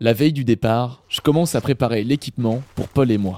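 A man with a normal speaking voice talks at a moderate pace and medium pitch, with ordinary pitch variation and a dry, close sound with no echo. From Normandy, France. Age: 20s. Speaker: podcast host and hiker. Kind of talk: scripted narration.

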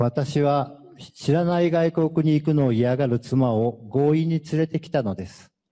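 A man's dark, mellow voice, fairly high in pitch, at a moderate pace, with ordinary pitch variation and big swings in loudness. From Japan, Fukuoka. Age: 50s. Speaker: former prisoner giving testimony. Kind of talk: testimony.

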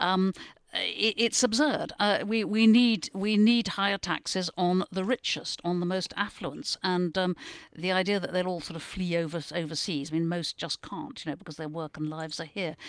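A woman with a British accent speaks at medium pitch and a moderate pace, with ordinary pitch variation. The sound is dry and close with no echo, over a quiet background. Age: 70s. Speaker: newspaper columnist. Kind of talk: casual panel discussion.

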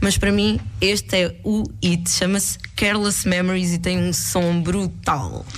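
Audible room echo and noticeable background noise accompany a woman speaking at a very slow pace. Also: hardly any pauses, very even loudness. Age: 20s. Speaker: guest radio presenter. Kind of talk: radio music show chat. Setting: radio studio.

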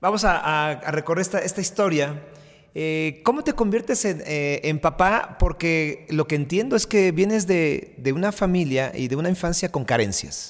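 On a very clean recording with a silent background, a man with a high pitch talks at a moderate pace using lively intonation. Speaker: podcast host and sports journalist. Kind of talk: interview.

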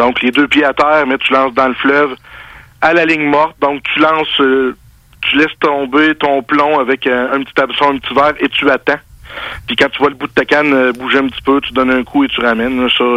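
A man speaks in a fairly high pitch with a bright, sharp tone. His intonation is monotone and flat, and the sound is dry and close with no echo. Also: fairly quick pace. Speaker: fishing writer. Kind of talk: interview. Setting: phone call.

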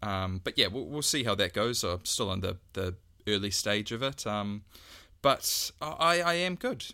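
A man speaks at a moderate pace with a New Zealand accent and a bright, sharp tone. His pitch variation is ordinary, and the recording is very clean with a silent background. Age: 20s. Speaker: podcast co-host. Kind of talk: casual chat. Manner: halting, many fillers.

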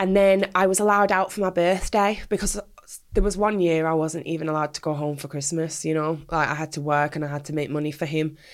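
A woman's very deep, low voice in a Mancunian accent, very fast, with fairly even intonation. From Manchester, England. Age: 30s. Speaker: ex-adult industry performer and anti-exploitation campaigner. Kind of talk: interview testimony.

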